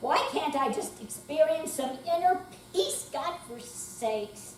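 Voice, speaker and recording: Very slow speech with lively intonation and big swings in loudness, over noticeable background noise. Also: woman, high pitch for a woman. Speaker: amateur actor. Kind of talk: readers theater performance. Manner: cranky, complaining.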